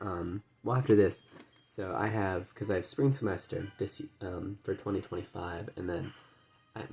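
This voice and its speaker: A soft-spoken man with a fairly low pitch, music in the background. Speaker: gaming video creator. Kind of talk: casual gameplay commentary. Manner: halting. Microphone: audio quiet.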